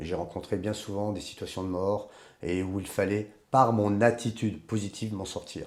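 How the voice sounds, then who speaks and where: This man has an ordinary speaking voice with a fairly low pitch. He talks at a moderate pace. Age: 60s. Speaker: life coach and adventurer. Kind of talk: interview.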